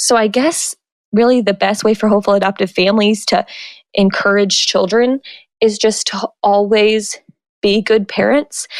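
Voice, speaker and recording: At a moderate pace, a woman speaks in a plain, everyday voice of medium pitch with fairly even intonation. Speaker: author and adoption advocate. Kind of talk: interview answer.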